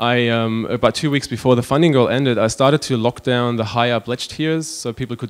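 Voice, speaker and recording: A man talks at a very fast pace with a German accent. His medium pitch holds a fairly even intonation. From Germany. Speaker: web designer and magazine publisher. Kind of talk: conference talk. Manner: hesitant, many fillers.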